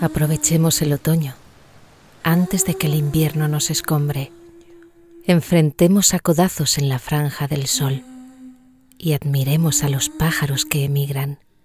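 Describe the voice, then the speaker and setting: Over music in the background, a woman speaks at a fairly slow pace with long, frequent pauses. Her pitch is very deep and low, and her intonation is fairly even. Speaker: voice actor. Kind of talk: poetry reading.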